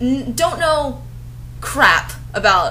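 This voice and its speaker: A woman's voice over music in the background. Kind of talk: comedic fan-fiction review with dramatic reading. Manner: sarcastic.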